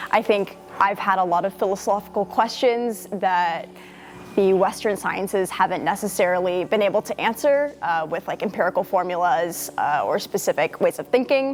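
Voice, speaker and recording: A woman with an American accent speaks in a plain, everyday voice at a moderate pace. Her pitch sits in the medium range and varies in an ordinary way. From US Northeast, near Boston. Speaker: university student. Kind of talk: interview testimony.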